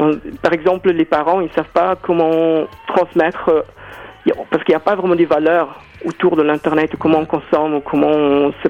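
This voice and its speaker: Against noticeable background noise, a man speaks at a moderate pace with a fairly high pitch. His intonation is monotone and flat, his loudness very even. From South Africa. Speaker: choreographer and dancer. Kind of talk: radio interview. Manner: halting, many hesitations.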